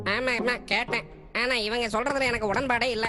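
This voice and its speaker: Over clear background noise, a woman uses a put-on character voice with a high pitch. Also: moderate pace. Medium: fan dub. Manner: grumbling, confused.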